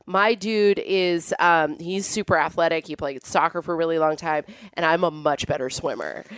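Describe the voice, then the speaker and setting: A woman's ordinary speaking voice, fairly low in pitch, with an American accent, fairly even intonation and a moderate pace. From Northern California (Amador County). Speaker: stand-up comedian. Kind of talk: casual chat.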